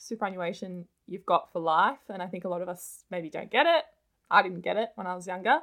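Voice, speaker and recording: With an Australian accent, the voice moves at a fairly quick pace, showing big swings in loudness and ordinary pitch variation. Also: woman, medium pitch for a woman. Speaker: personal finance content creator. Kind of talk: interview.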